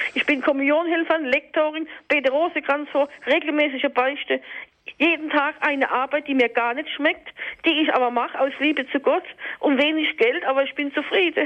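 A woman talks at a moderate pace with fairly even intonation. Her pitch is high. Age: 50s. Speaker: caller. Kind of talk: testimony.

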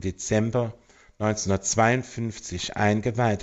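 Fairly even intonation in a fairly low-pitched male voice. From Germany, Eifel region. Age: 50s. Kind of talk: radio interview. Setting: phone call. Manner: hesitant, with fillers.

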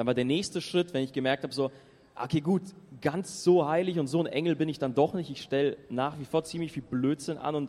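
Fairly quick and fairly high-pitched, this man has an unremarkable speaking voice with ordinary pitch variation. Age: 20s. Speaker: youth pilgrim speaker. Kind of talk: testimony talk to audience. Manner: casual, lively.

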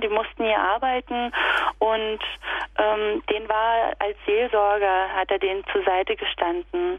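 A woman speaking at a very slow pace, fairly high in pitch with lively intonation, over noticeable background noise. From Upper Lusatia, Saxony (Sorbian region). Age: 30s. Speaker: kindergarten teacher and festival organiser. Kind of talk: radio interview. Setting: phone call.

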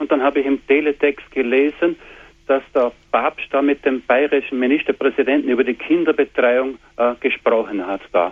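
A man speaks in a plain, everyday voice at a fairly high pitch. His pace is moderate and his pitch varies in an ordinary way. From Austria. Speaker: caller.

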